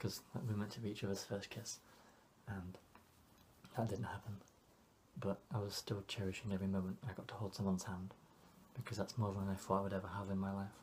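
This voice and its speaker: Speaking in an English accent, a man with a fairly low, somewhat breathy voice goes very fast in a flat monotone, broken by long, frequent pauses. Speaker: vlogger. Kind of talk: personal vlog monologue. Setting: home alone. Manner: quiet, not projecting.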